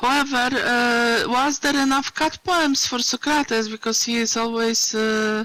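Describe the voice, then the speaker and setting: A non-native accent at a fairly slow pace with hardly any pauses, over noticeable background noise. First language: not English. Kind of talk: casual chat. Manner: halting.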